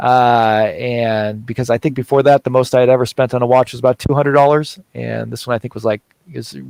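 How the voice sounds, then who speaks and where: A man with a Californian accent talks at a very fast pace in a medium pitch with monotone, flat intonation. The sound is dry and close, with no echo. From California, US. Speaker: watch YouTuber. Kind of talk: casual chat. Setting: livestream video call. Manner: hesitant, many fillers.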